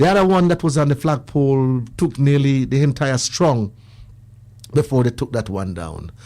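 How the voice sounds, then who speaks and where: With ordinary pitch variation, this man speaks at medium pitch in a dark, mellow tone. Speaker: radio show caller. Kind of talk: personal testimony on talk radio. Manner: fast; animated.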